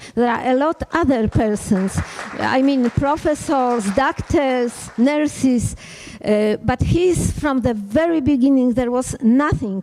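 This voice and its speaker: A woman's high voice in a Polish accent, very slow and very even in loudness, with ordinary pitch variation and noticeable background noise. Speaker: physician and parliamentarian. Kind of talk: conference speech. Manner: hesitant in English.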